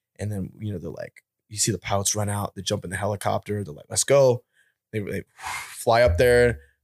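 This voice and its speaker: A man with an American accent talks at a fairly quick pace in a plain, everyday voice, his pitch fairly low with ordinary variation. His loudness swings widely, and the sound is dry and close with no echo. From upstate New York, near Albany. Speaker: military veteran. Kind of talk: casual chat.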